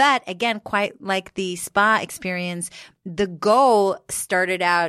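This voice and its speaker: A woman's bright, sharp voice with an American accent, at a very slow pace with ordinary pitch variation, in a dry, close sound with no echo and a very clean recording with a silent background. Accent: American-sounding. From Israel, Jerusalem. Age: 40s. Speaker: author and social media influencer. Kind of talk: casual interview chat.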